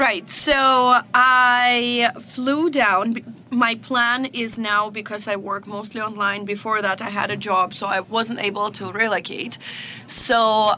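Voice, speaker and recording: Fairly slow speech in a Russian accent, over noticeable background noise. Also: woman. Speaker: social media comedian. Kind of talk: podcast interview.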